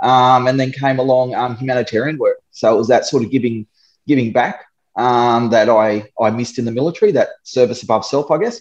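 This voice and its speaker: A man with an Australian accent, medium pitch and ordinary pitch variation, at a moderate pace. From Darwin, Australia. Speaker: disaster relief volunteer drone pilot, ex-soldier. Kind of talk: casual interview.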